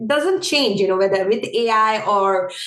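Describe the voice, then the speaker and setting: With a non-native accent, a woman talks at a moderate pace in a fairly high pitch over noticeable background noise. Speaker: ergonomics professional. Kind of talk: podcast interview.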